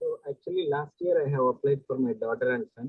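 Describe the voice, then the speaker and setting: Soft-spoken, a man talks at a moderate pace. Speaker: parent. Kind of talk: Q&A question.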